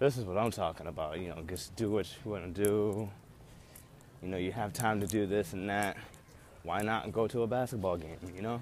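A man's fairly low voice at a fairly quick pace, with ordinary pitch variation, a dry sound with no echo, and light background noise. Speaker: university student vlogger. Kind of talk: casual vlog chat. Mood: upbeat, nostalgic. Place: street. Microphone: earbuds.

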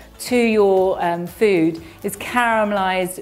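A woman talks while faint music sits in the background. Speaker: presenter. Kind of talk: cooking tutorial. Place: kitchen.

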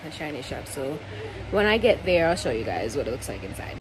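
A woman's very deep, low voice with very wide pitch swings, at a fairly quick pace amid noticeable background noise. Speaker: vlogger. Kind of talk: casual vlog chat. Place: home room. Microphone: phone near.

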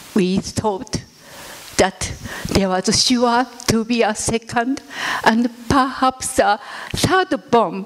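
A woman's fairly high voice at a very slow pace, with ordinary pitch variation. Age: 80s. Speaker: atomic bomb survivor. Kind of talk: testimony. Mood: solemn, reflective. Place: hall. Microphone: handheld.

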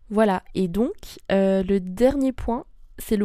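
A woman's dark, mellow tone at medium pitch, very slow, with ordinary pitch variation. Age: 20s. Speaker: podcast host. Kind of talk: casual monologue podcast. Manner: hesitant, many fillers.

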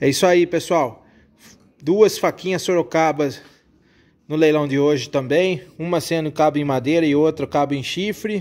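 The speaker has a Brazilian accent, a moderate pace and ordinary pitch variation. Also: man, fairly high pitch for a man. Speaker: knife maker and auction seller. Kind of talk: street-seller style sales pitch, showing knives one by one. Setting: video, showing knives at the camera. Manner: animated, enthusiastic, repeating praise like 'que espetáculo'. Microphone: phone near.

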